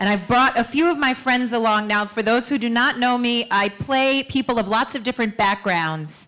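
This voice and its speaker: Over noticeable background noise, a woman with a New York accent talks at a moderate pace with a fairly high pitch, very even loudness and hardly any pauses. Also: ordinary pitch variation. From Queens, New York. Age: young. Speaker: actor and performer. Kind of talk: stage speech. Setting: stage with audience.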